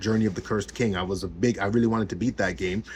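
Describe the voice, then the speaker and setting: A man mumbling at a very fast pace, somewhat breathy. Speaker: gaming YouTuber. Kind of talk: casual vlog rant. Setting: home office at desk. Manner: halting, repetitive fillers.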